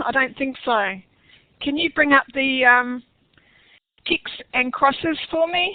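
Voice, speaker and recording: At a very slow pace, a woman speaks with an Australian accent. Her pitch is high, with ordinary variation. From Western Australia. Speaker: online workshop presenter. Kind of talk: webinar tutorial. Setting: online webinar session. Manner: casual with many fillers.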